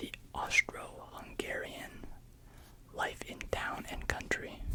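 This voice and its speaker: Someone whispers at a very slow pace. Noticeable background noise is present. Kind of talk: ASMR close examination whisper. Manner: whispered.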